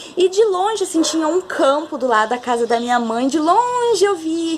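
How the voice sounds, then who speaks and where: A woman's warm-toned voice at a moderate pace, with very wide pitch swings and noticeable background noise. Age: 30s. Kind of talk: personal testimony talk to camera. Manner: warm, casual.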